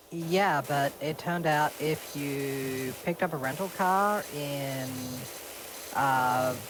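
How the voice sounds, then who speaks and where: Noticeable background noise is present as the voice proceeds at a very slow pace. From eastern Australia. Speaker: streamer. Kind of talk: casual chat.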